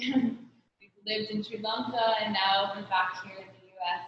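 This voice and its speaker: At a fairly slow pace, a woman talks in a fairly high pitch with monotone, flat intonation, and the room echo is audible. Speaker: bride. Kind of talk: wedding vows. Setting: video call. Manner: loud.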